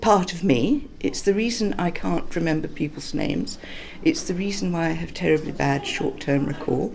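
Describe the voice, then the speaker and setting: A woman's pitch swings very widely as she talks at a moderate speed, with noticeable background noise present. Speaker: dyslexia charity member. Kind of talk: interview testimony.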